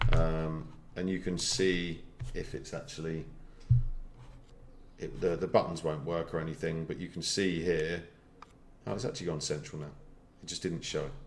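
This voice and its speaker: Leaving long, frequent pauses, a man speaks at a very deep, low pitch with ordinary pitch variation amid audible room echo. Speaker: online marketing trainer. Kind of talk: live screen-share tutorial. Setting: live stream. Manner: fast.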